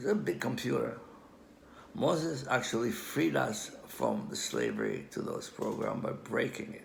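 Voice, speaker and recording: Audible room echo and noticeable background noise surround a man with an Israeli accent. He talks at a moderate pace. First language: Hebrew. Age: old. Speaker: amateur language researcher. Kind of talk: lecture. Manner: halting.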